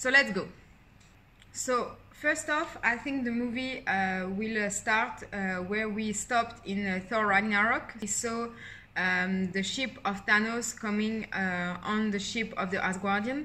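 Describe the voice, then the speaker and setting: With a strong French accent, a woman speaks at a fairly slow pace in a bright, sharp tone, with audible room echo around her. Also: fairly high pitch for a woman, ordinary pitch variation. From France. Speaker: YouTuber, film fan commentator. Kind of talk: casual vlog theory breakdown. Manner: hesitant, many fillers.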